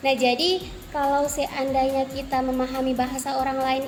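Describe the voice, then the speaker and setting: A woman's high voice with audible room echo and music in the background. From Central Sulawesi, Indonesia (Banggai Islands). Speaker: university student. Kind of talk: interview.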